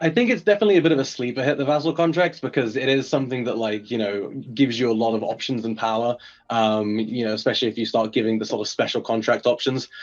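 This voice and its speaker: The speaker has an English accent and talks at a very fast pace. Pitch variation is ordinary. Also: man, medium pitch for a man. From England. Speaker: game developer. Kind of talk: interview.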